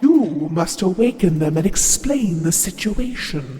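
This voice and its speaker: Over clear background noise, the speaker uses a put-on character voice at a middle pitch and a fairly slow pace. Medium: audio drama.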